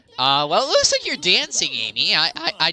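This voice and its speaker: At a moderate pace, the talking comes through with noticeable background noise. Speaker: video game streamer. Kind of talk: casual live-stream commentary. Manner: hesitant, many fillers; animated.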